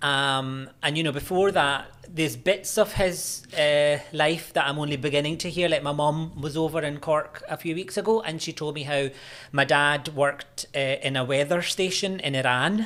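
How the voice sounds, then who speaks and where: A man with a Scottish accent speaks at a fairly high pitch. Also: ordinary pitch variation, moderate pace. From Scotland, Glasgow. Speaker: university lecturer in religious studies. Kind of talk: podcast interview. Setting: studio.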